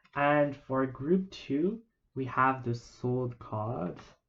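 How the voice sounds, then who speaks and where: This speaker has a non-native accent and talks at a very slow pace. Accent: non-native English accent, self-noted. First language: not English. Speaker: tarot reader. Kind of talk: tarot reading video. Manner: hesitant, many fillers.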